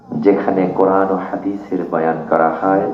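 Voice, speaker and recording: A man's very deep, low voice with fairly even intonation, audible room echo and music in the background. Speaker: Islamic preacher. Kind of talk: sermon.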